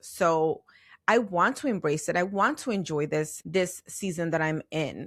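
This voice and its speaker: This woman has a plain, everyday voice with fairly low pitch and ordinary pitch variation. She talks at a fairly slow pace in a very clean recording with a silent background. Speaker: podcast host. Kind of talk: podcast monologue. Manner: conversational.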